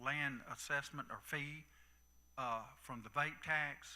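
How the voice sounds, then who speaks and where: This speaker has a Southern US accent, a bright, sharp tone and fairly even intonation. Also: man. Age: 60s. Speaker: county commissioner. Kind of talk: town hall talk. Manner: halting.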